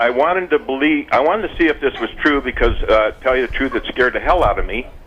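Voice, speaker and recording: A man's voice with noticeable background noise. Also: hardly any pauses. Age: 60s. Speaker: caller. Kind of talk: testimony. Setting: phone call. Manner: wordy, rambling.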